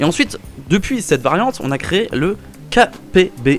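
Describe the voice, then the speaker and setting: Lively intonation runs through a man's speech, with music in the background. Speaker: firearms history video host. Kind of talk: casual educational narration. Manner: casual, joking.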